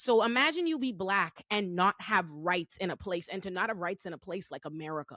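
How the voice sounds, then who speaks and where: A woman with a bright, sharp, animated tone speaks fairly quickly at medium pitch, her intonation lively and with hardly any pauses. The sound is dry and close, with no echo. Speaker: attorney and show host. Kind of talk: casual panel discussion.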